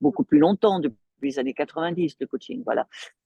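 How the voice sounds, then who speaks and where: Her dark, mellow tone moves through very wide pitch swings as the woman speaks, in a dry, close sound with no echo. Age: 70s. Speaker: coach and trainer. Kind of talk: interview. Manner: hesitant, many fillers.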